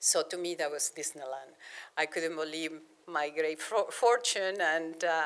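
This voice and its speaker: Speaking fairly slowly, a woman with a Spanish accent has a fairly low pitch. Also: ordinary pitch variation. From Argentina, Buenos Aires. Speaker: planetary scientist. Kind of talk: public lecture. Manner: halting, many repetitions.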